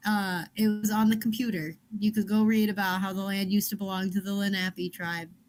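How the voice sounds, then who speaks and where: A woman's somewhat breathy, medium-pitched voice with a Chicago accent, monotone and flat, at a fairly quick pace. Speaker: book club podcast co-host. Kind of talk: casual chat. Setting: livestream.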